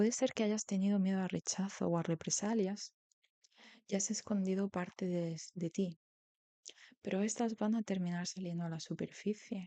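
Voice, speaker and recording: Calm and dark, mellow in tone, a woman with a medium pitch speaks at a moderate pace with fairly even intonation, in a dry, close sound with no echo. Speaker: tarot reader. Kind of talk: tarot reading, soft-spoken ASMR style. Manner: soft-spoken, calm.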